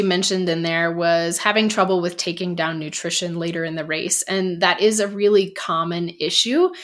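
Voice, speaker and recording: A woman with a plain, everyday voice, medium in pitch, fairly quick, with ordinary pitch variation and hardly any pauses. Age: 40s. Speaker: running coach and podcast co-host. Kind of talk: casual chat.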